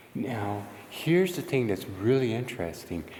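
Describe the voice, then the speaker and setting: Audible room echo surrounds a man who speaks fairly slowly at a fairly low pitch. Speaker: paranormal investigator vlogger. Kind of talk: vlog narration. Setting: outdoors then inside abandoned church.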